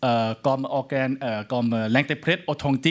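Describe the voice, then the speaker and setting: In a Thai accent, a man speaks at a fairly slow pace, his medium-pitched voice showing ordinary pitch variation. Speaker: law scholar. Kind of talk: lecture.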